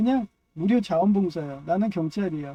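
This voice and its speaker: The speaker talks at a moderate pace in a strong Chungcheong accent. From Chungcheong, Korea. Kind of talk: casual monologue. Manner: rambling, filler-heavy.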